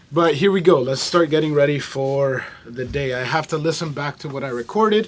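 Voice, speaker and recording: The speech runs at a moderate pace with ordinary pitch variation. Noticeable background noise sits under it. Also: man. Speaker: musician and vlogger. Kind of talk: casual vlog. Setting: recording studio.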